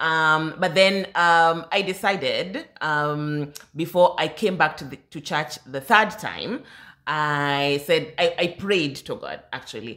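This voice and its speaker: In a very clean recording with a silent background, a woman with a fairly low pitch and a bright, sharp tone speaks very slowly, with ordinary pitch variation and big swings in loudness. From Kenya. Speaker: podcast co-host. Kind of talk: casual chat. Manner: low-key.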